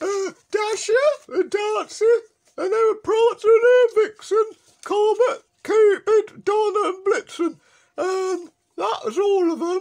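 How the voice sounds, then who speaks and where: A put-on character voice moves at a fairly slow pace, broken by long, frequent pauses. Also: man, extremely high pitch for a man. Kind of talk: comic overacting. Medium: solo performance. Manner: rambling, hesitant.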